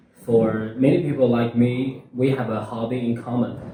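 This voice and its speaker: A man speaks at a medium pitch and a fairly slow pace. His intonation is monotone and flat, with audible room echo. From China, Hunan Province. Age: 20s. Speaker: university student. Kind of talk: interview. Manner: halting, many fillers.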